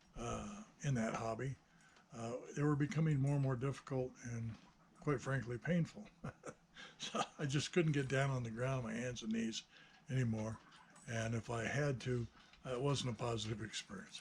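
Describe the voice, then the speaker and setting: Somewhat breathy and medium in pitch, a man speaks with long, frequent pauses. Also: ordinary pitch variation, moderate pace. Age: 60s. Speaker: hobbyist builder and video maker. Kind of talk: casual monologue. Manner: hesitant, many fillers.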